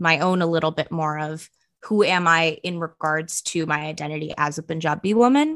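With an American accent, a woman speaks in a fairly low, bright, sharp voice with fairly even intonation against a quiet background. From US West Coast, San Francisco Bay Area. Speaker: podcast co-host. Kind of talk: casual chat. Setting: studio.

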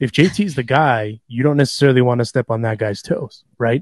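A plain, everyday voice from a man, medium pitch, moderate pace, ordinary pitch variation. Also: dry, close sound with no echo. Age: 30s. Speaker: podcast co-host. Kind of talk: casual chat. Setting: studio.

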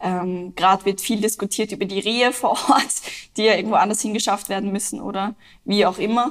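A woman with a plain, everyday voice talks at a fairly quick pace with fairly even intonation. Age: 20s. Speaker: climate activist. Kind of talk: interview.

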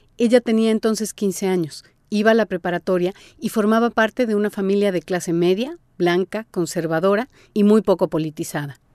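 The sound is dry and close with no echo, over a quiet background. A woman speaks at a fairly quick pace in a medium pitch with a dark, mellow tone. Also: ordinary pitch variation. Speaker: podcast host and narrator. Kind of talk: scripted narration.

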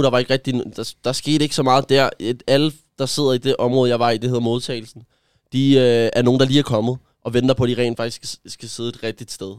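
A man talks at a fairly quick pace in a flat monotone. The sound is dry and close with no echo, on a very clean recording with a silent background. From Denmark, Gentofte. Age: 20s. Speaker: influencer. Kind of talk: personal testimony. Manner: halting.

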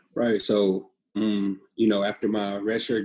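This is a man with an American accent and a fairly low-pitched voice. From US West Coast, Pasadena, California. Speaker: professional football quarterback. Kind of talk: casual interview.

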